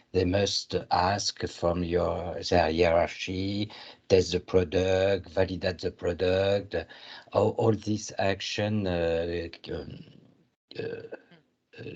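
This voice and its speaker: The speech moves at a very slow pace with long, frequent pauses. Intonation stays fairly even over a quiet background. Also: man, very deep, low pitch for a man. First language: not English. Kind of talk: online networking meeting. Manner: halting.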